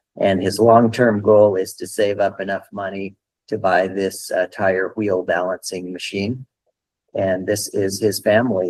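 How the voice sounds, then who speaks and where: A man with an American accent and a plain, everyday voice, fairly low in pitch, fairly slow and fairly even in intonation. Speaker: meeting host for a microloan nonprofit. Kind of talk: online meeting presentation.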